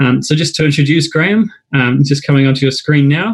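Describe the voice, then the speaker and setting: A man with a New Zealand accent talks fairly quickly and somewhat breathily, fairly high in pitch with ordinary pitch variation. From New Zealand, Wellington. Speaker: club night host. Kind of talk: live webinar hosting. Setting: online live broadcast. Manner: hesitant, many fillers.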